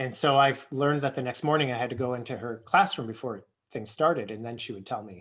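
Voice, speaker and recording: Talking at a very fast pace, a man with an American accent has a medium pitch. His loudness swings widely. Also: ordinary pitch variation. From United States. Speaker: early childhood educator. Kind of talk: casual chat.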